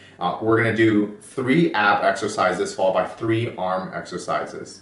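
A man with a fairly low voice, heard with audible room echo. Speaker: fitness channel host. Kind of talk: workout intro tutorial.

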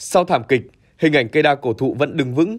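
A man's fairly high voice at a very fast pace, with ordinary pitch variation, on a very clean recording with a silent background. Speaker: news presenter. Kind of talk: news reading. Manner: formal.

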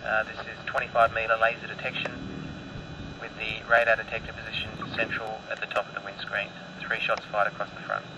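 Noticeable background noise sits behind a man talking at a fairly quick pace. His intonation is monotone and flat. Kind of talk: commentary. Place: open country.

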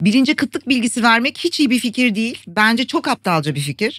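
A woman talks in a fairly high pitch with lively intonation. Hers is an unremarkable speaking voice. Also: dry, close sound with no echo. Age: 50s. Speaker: Ayurveda expert and wellbeing educator. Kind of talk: interview.

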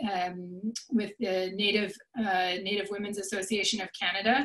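Somewhat breathy, a woman speaks with monotone, flat intonation. The background is quiet. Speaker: webinar host. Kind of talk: opening remarks. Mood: warm, welcoming. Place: home room. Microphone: webcam.

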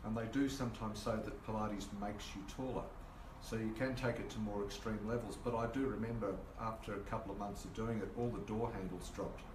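Speech comes at a fairly quick pace in a monotone, flat delivery, with noticeable background noise behind it. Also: man. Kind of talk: informal talk to a group. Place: home room. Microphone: camera far.

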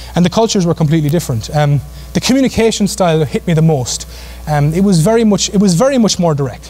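Over faint background music, a man with a southwest Irish accent speaks very fast in a fairly high pitch. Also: lively intonation. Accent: Irish (southwest, Kerry). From Ireland. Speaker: business professor. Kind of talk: lecture. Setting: stage with audience. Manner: fast talker. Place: hall.

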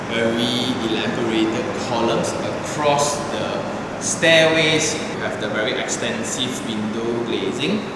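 A man speaks with ordinary pitch variation. Loud background noise and audible room echo fill the recording. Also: fairly slow pace. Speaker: property reviewer. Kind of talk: walkthrough commentary. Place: home room. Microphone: phone near.

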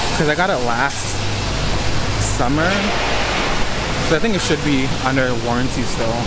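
A man speaks fairly quickly in a dry, echo-free sound, with loud noise behind him. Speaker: vlogger. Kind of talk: casual vlog chat. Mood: relaxed, chatty. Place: street. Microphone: phone near.

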